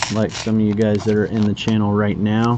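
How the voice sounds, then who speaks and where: Noticeable background noise sits behind a man with a fairly low pitch. His intonation is monotone and flat. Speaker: card collector streamer. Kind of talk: casual live stream chat. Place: home room. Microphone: webcam.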